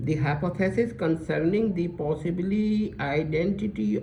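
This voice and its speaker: A man's fairly high pitch with ordinary pitch variation and audible room echo. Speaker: religious lecturer. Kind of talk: lecture. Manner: halting, self-correcting; reading aloud slowly, deliberate.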